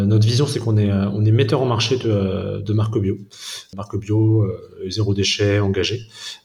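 There is audible room echo and noticeable background noise. A man talks with a fairly low pitch. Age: 30s. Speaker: organic food wholesale cofounder. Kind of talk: interview. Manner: halting, many repetitions and fillers.

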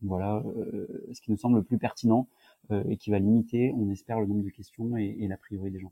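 A man speaks fairly quickly with a fairly low, dark and mellow voice in a flat monotone. His loudness swings widely, and the sound is dry and close with no echo. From southern France, near Nice. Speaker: startup founder. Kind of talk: casual interview.

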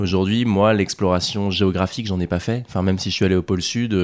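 Very fast delivery with fairly even intonation. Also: man. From Normandy, France. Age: 20s. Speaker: adventurer and polar explorer. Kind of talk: interview.

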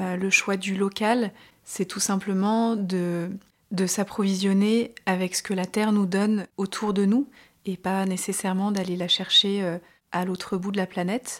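A woman's medium-pitched voice at a very slow pace, monotone and flat, on a very clean recording with a silent background. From France, Grenoble (Alps). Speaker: chef. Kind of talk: interview.

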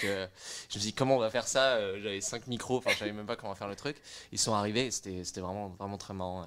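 A man's medium-pitched voice races along very fast with ordinary pitch variation, captured in a very clean recording against a silent background. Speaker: music startup co-founder. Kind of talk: casual chat.

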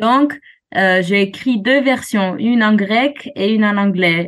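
The speaker is a woman with a fairly high pitch. She uses ordinary pitch variation. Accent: Greek. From Greece, Alexandroupolis in Thrace. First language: Greek (speaking French). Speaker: jazz singer. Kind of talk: interview. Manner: halting.

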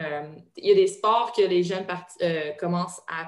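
In a Quebec accent, a woman talks at a fairly slow pace with a fairly low pitch. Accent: Québécois French. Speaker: retired judoka and strength coach. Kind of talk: interview. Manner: hesitant with fillers.

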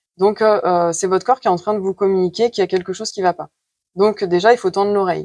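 At a very fast pace, a woman talks with fairly even intonation at a medium pitch, the sound dry and close with no echo. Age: 30s. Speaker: nurse and trainee Chinese medicine practitioner. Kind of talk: interview. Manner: hesitant with frequent fillers.

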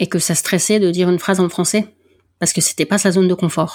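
A woman talks at a fairly quick pace in a fairly low pitch, with fairly even intonation. The recording is very clean and the background silent. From northern France. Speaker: podcast host and athletics volunteer. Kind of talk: interview.

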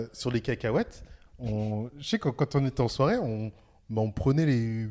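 Medium pitch from a man, captured in a very clean recording against a silent background. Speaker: podcaster. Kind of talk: casual chat. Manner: animated.

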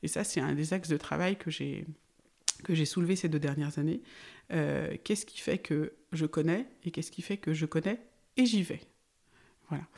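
With vocal fry and a fairly low pitch, a woman speaks with ordinary pitch variation and long, frequent pauses on a very clean recording with a silent background. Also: moderate pace. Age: 40s. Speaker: farmer. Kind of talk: interview.

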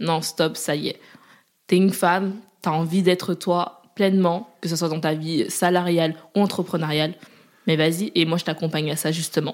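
At a moderate pace and fairly low pitch, a woman speaks with monotone, flat intonation in a very clean recording with a silent background. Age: 20s. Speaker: agency founder. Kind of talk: casual interview.

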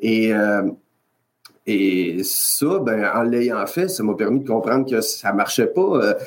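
A man with a Quebec accent, very slow pace, lively intonation. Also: medium pitch for a man. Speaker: health and safety consultant. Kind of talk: interview. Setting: video call.

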